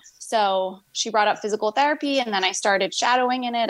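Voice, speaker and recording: A woman uses an ordinary speaking voice at a moderate pace, her pitch varying in an ordinary way, on a very clean recording with a silent background. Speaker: pediatric physical therapist. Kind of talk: interview conversation.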